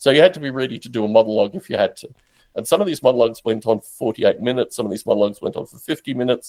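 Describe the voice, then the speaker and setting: The speaker talks at a very fast pace in an Australian accent, with ordinary pitch variation and big swings in loudness, in a dry, close sound with no echo. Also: man, medium pitch for a man. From Australia, Canberra. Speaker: podcaster and simulation developer. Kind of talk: interview.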